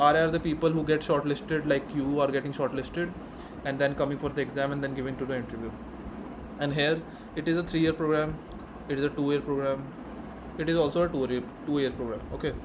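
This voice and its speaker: A man with an Indian accent at fairly high pitch, very fast yet with long, frequent pauses, monotone and flat, over noticeable background noise. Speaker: student mentor, YouTuber. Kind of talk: tutorial. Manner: casual.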